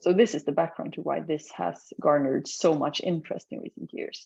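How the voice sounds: Her low-pitched voice has a dark, mellow tone, a slightly husky edge and vocal fry, with fairly even intonation from this woman. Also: moderate pace.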